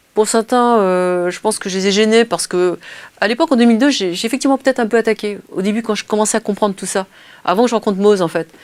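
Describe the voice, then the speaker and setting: At a very fast pace, a woman speaks in a fairly high pitch. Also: ordinary pitch variation, dry, close sound with no echo. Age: 50s. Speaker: interviewee on collaborative intelligence. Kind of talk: interview.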